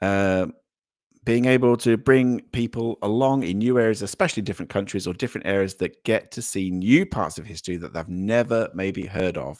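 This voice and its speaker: This man has a British accent and a fairly low voice. He talks at a fairly quick clip with ordinary pitch variation. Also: very clean recording, silent background. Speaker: livestream host. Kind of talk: live chat reading. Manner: halting, many fillers.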